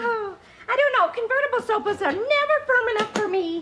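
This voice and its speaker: A woman uses a put-on character voice that is squeaky and extremely high. She talks at a fairly quick pace with lively intonation. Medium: short film. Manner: gushing, repetitive, giggly.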